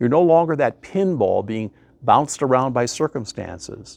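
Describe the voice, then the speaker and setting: In a dry, close sound with no echo, a man of medium pitch speaks at a moderate pace with very wide pitch swings. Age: 70s. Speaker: life coach. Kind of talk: motivational talk.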